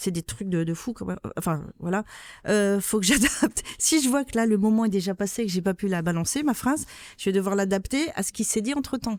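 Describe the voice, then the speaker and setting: Lively intonation marks a woman's fairly quick delivery. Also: medium pitch for a woman. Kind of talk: interview. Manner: loud; interrupts often.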